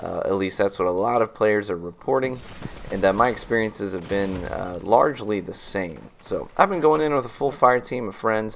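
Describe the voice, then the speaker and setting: Over noticeable background noise, a man speaks at a moderate pace with a fairly low pitch and ordinary pitch variation. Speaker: gaming video creator. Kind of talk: gameplay commentary. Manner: casual, many filler words.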